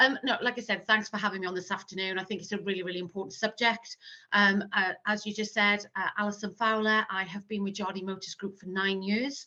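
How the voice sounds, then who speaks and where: Speaking with a Welsh accent and hardly any pauses, a woman has a bright, sharp tone and monotone, flat intonation. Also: medium pitch for a woman, fairly quick pace. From South Wales. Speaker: marketing manager. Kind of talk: interview.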